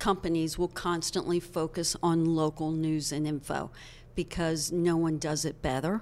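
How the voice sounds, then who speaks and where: A woman with an American accent speaks at a fairly low pitch in a flat monotone, on a very clean recording with a silent background. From central Pennsylvania, Hershey. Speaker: former TV sales manager, media expert. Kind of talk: interview.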